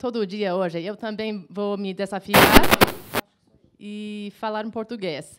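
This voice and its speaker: At a very slow pace, a woman with a non-native accent speaks at medium pitch. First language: not Portuguese (speaking Portuguese). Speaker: professor, teacher education researcher. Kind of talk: panel talk. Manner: halting, many hesitations.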